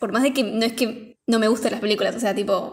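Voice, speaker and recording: Ordinary pitch variation marks a woman's fairly high-pitched speech. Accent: Rioplatense. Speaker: podcast co-host, film reviewer. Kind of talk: casual chat.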